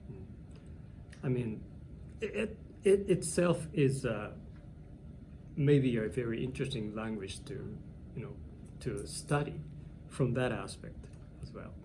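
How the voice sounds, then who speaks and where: With a Japanese accent, a man speaks in a dark, mellow tone with vocal fry and very wide pitch swings, leaving long, frequent pauses amid audible room echo. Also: medium pitch for a man, big swings in loudness. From Japan, Hiroshima. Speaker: English teacher. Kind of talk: interview. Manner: halting.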